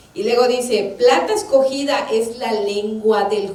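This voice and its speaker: Amid noticeable background noise and audible room echo, a high-pitched woman speaks at a very slow pace. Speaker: church minister. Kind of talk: sermon.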